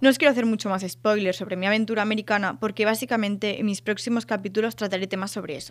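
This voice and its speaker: In a very clean recording with a silent background, a woman of medium pitch talks at a very fast pace with hardly any pauses and fairly even intonation. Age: 20s. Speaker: podcast host, student and photographer. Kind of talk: scripted monologue.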